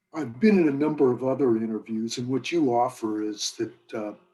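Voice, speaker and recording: Medium in pitch and dark, mellow in tone, a man speaks at a fairly quick pace. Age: 70s. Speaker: Vietnam war veteran. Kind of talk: interview testimony.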